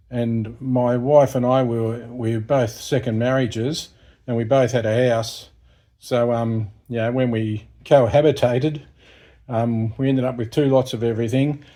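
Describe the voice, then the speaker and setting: Dark, mellow tone in a strong Australian accent, with monotone, flat intonation at a fairly slow pace. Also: man, medium pitch for a man. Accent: broad Australian. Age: 60s. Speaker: YouTuber, retired repairman. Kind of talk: casual vlog monologue. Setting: in a shed. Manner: hesitant, many fillers.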